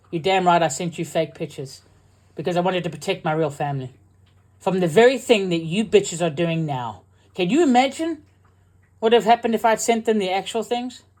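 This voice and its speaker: Someone with a South African accent speaks at a fairly quick pace in a very clean recording with a silent background. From UK, partly raised in South Africa. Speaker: military veteran and online creator. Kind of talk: angry rebuttal livestream. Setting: livestream.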